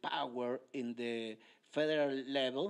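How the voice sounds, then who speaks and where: A man with a Mexican accent speaks at a very slow pace. The recording is very clean, with a silent background. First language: Spanish. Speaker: politician. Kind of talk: lecture. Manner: halting, many hesitations.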